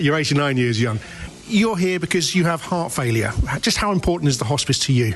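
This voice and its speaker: Against noticeable background noise, a man talks fairly quickly at a fairly high pitch. His pitch swings very widely while his loudness stays very even. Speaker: radio reporter. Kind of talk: radio report. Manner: whispering.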